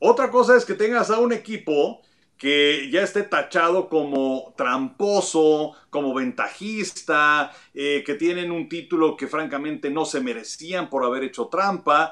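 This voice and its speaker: Against a quiet background, a man talks at a fairly slow pace with a normal speaking voice. His pitch is fairly high and his intonation lively. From Mexico. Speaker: baseball pundit. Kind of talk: casual sports discussion.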